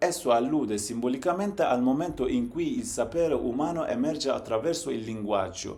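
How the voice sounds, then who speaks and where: A man's fairly high voice with a Turkish accent, fairly quick and with hardly any pauses, full of very wide pitch swings, against noticeable background noise. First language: Zaza (speaking Italian). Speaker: language educator / channel host. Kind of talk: lecture. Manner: formal.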